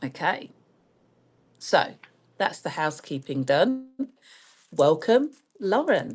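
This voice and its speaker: A woman with a British accent speaks at a very slow pace, her medium-pitched voice swinging very widely in pitch and broken by long, frequent pauses. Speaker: astrologer and podcast host. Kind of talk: casual chat.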